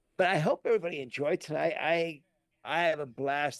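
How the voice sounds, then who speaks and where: A man talks at a moderate pace. The sound is dry and close with no echo, and the background is quiet. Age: 50s. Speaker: DJ and podcast co-host. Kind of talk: casual chat. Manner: animated.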